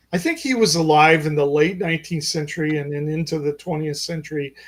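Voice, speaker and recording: The voice moves at a fairly quick pace in a monotone, flat intonation. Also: man. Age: 60s. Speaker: physician and author. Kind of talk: interview. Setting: podcast.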